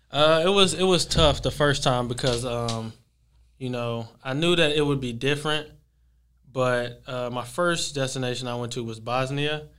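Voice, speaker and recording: This is a normal speaking voice with an American accent. It has ordinary pitch variation and a moderate pace. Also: man, medium pitch for a man. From Texas, Dallas area. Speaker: professional basketball player. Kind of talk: casual interview.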